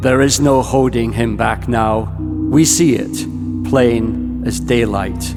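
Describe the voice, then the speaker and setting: Over music in the background, a man with a very deep, low pitch talks at a very slow pace with very wide pitch swings and hardly any pauses. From Ireland. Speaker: poet. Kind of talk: spoken word poetry performance. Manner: fierce, impassioned.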